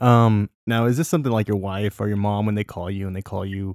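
An unremarkable speaking voice from a man, fairly low in pitch, with fairly even intonation at a fairly quick pace, in a very clean recording with a silent background and a dry, close sound with no echo. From Southern California. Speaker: podcast host, grilling content creator. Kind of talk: casual chat; interview.

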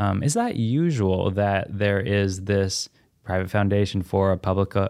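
A man with a fairly low pitch talks at a moderate pace. The recording is very clean and silent behind him, with a dry, close sound and no echo. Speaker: podcast host. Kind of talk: casual interview. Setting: studio. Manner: warm, enthusiastic.

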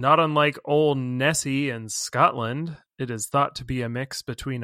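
Speaking at a fairly slow pace, a man with a fairly high pitch sounds animated and playful, his tone bright and sharp on a very clean recording with a silent background. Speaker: podcast co-host. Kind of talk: casual comedic banter podcast. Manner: animated, playful.

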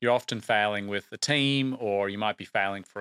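In a very clean recording with a silent background, a man with an Australian accent speaks at a fairly quick pace, his bright, sharp voice fairly low in pitch with ordinary variation. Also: dry, close sound with no echo. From Australia, Brisbane. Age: late 30s. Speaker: TV producer. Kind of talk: interview. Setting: studio.

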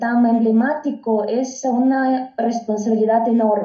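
A woman speaks at a very slow pace. Her voice is high in pitch, with a Russian accent. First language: Russian (speaking Spanish). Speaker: diplomat. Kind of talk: casual chat. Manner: halting.

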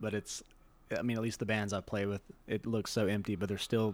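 Here a man with an American accent talks at a fairly quick pace and fairly low pitch, his intonation monotone and flat. The recording is very clean, with a silent background. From US South, Shreveport, Louisiana. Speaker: bass player. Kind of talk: casual chat.

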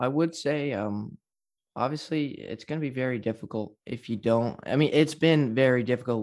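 In a very clean recording with a silent background, a man with an unremarkable speaking voice and medium pitch talks at a moderate pace. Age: 20s. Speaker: mortgage agent. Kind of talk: casual chat.

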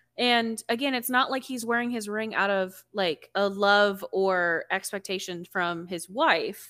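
A woman at medium pitch talks at a fairly slow pace with hardly any pauses, her tone animated, bright and sharp. Pitch variation is ordinary, and the recording is very clean with a silent background. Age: 20s. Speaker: book podcast co-host. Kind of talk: casual chat. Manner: animated, talks with her hands.

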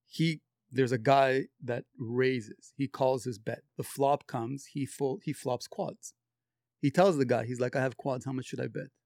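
A plain, everyday voice from a man at medium pitch and moderate pace, with ordinary pitch variation and a dry, close sound with no echo. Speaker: friend of the guest. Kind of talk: casual chat.

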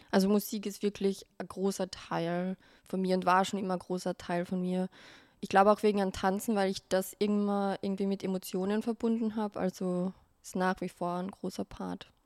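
A woman with a Carinthian accent speaks at a moderate pace in a medium pitch, monotone with flat intonation. The sound is dry and close with no echo, on a very clean recording with a silent background. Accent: Carinthian Austrian German. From Austria, Carinthia. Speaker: make-up artist and content creator. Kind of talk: casual interview chat.

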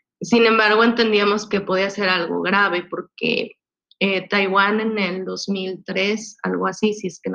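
This woman's pitch sits in the medium range. She talks very slowly. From Mexico, Puebla. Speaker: expat mother. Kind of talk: interview. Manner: halting.

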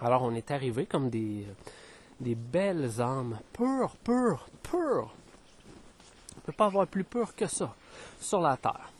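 A man speaks at a very slow pace with long, frequent pauses, his fairly high voice swinging very widely in pitch. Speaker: spiritual podcaster. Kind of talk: spiritual monologue. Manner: hesitant, many fillers.

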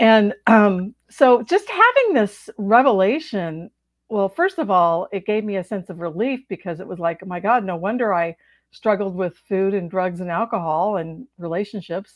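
Her loudness swings widely as a woman talks in an unremarkable speaking voice at medium pitch. Pitch variation is ordinary, and the pace is moderate. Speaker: author and trauma recovery coach. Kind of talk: interview.

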